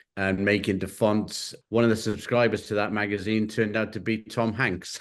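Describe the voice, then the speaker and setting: Against a quiet background, a man with an English accent delivers his words in a fairly low, monotone, flat voice. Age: 60s. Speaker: creative director and collage artist. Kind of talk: interview. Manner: hesitant, many fillers.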